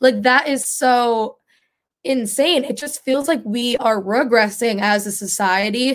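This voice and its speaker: Her pitch fairly high, a woman speaks in an animated tone with ordinary pitch variation. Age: young. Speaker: political podcast co-host. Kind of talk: casual chat.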